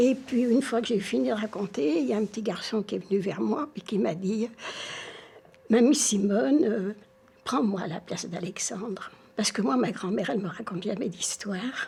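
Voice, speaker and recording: Noticeable background noise accompanies a woman speaking at a medium pitch and moderate pace with lively intonation. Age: 80s+. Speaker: storyteller. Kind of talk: interview testimony.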